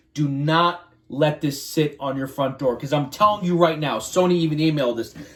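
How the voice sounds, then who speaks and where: Music plays in the background while a man talks. His pitch is fairly high, his pace moderate and his pitch variation ordinary. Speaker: youtuber. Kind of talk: unboxing video. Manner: hesitant with fillers.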